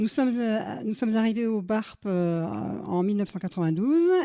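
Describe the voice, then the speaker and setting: This woman speaks with a dark, mellow tone and lively intonation. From southwest France (Lot-et-Garonne). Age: 60s. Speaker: mayor. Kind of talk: interview testimony. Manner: hesitant, many fillers.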